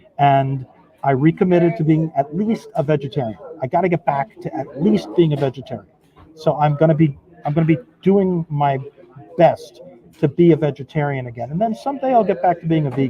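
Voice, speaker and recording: A fairly high-pitched man talks fairly quickly with ordinary pitch variation as noticeable background noise carries on around him. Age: 60s. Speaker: recovering addict interviewee. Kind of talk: casual interview. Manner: animated.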